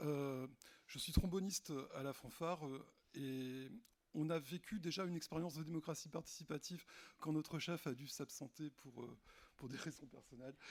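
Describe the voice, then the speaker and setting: A man's fairly high voice at a moderate pace, fairly even in intonation, with long, frequent pauses. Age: 50s. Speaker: municipal election candidate. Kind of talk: candidate self-introduction.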